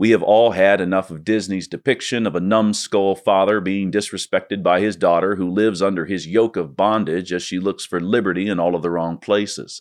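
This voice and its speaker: A man talks in a plain, everyday voice at a fairly low pitch and fairly quick pace, with ordinary pitch variation, a dry, close sound with no echo, and a quiet background. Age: 30s. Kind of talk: scripted essay narration.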